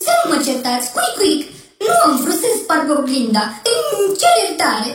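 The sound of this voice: A put-on character voice with very wide pitch swings and a fairly bright tone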